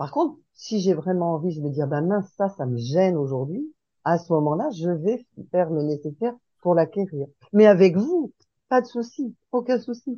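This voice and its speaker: A woman talks at a moderate pace with very wide swings in pitch. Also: fairly low pitch for a woman. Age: 60s. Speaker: support group participant. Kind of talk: group sharing discussion.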